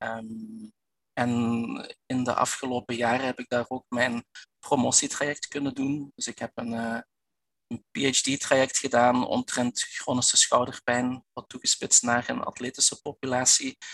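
In a dry, close recording with no echo, a man speaks at a medium pitch with monotone, flat intonation. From Belgian Limburg. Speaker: physiotherapist and researcher. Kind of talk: expert interview. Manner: halting, many fillers and repetitions.

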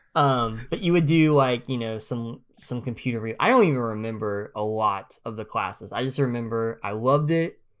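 A plain, everyday voice moves at a moderate pace with hardly any pauses and ordinary pitch variation in a very clean recording with a silent background. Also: man, medium pitch for a man. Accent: American. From US, northeast Oklahoma near Missouri line. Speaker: podcast co-host. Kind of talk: casual chat.

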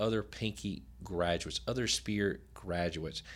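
Lively intonation and vocal fry mark this moderate-paced voice with an American accent, on a very clean recording with a silent background. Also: man. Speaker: co-host, dental transition advisor. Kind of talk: casual chat. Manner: laid-back.

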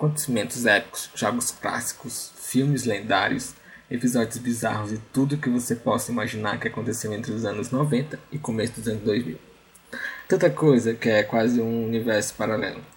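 At a medium pitch, a man speaks somewhat breathily at a moderate pace with fairly even intonation. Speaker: podcast host. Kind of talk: solo nostalgic monologue.

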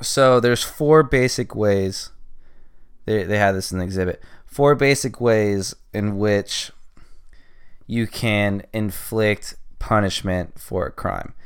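A man with a Californian accent at a very slow pace, with long, frequent pauses, in a very clean recording with a silent background. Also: ordinary pitch variation. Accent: Californian American. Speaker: podcast host. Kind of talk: solo monologue, casual journal-style. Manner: rambling, filler-heavy.

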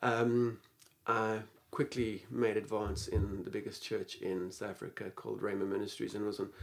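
A man speaks in a plain, everyday voice at a fairly low pitch. His pace is fairly slow and his intonation fairly even. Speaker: pastor and teacher. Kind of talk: interview, storytelling.

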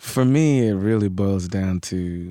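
A man's very deep, low voice with a New York accent and a dark, mellow tone, dry and close with no echo, on a very clean recording with a silent background. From New York City, Queens. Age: 30s. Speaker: congressional candidate. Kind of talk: casual interview.

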